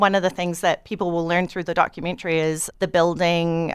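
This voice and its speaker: A woman with a New Zealand accent speaks in a fairly low pitch. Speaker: documentary director. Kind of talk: radio interview.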